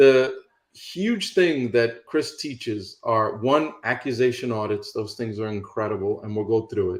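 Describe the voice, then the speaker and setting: At a fairly slow pace, a man talks in a normal speaking voice of medium pitch with ordinary pitch variation. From New York City. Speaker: real estate investing coach. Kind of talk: instructional talk on a call. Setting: online call.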